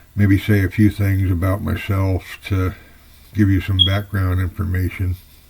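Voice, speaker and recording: In an American accent, a man with a somewhat breathy voice speaks at a fairly low pitch and a moderate pace, his intonation monotone and flat. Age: 70s. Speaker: fiction writer. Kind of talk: personal introduction monologue. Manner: unscripted, slightly halting.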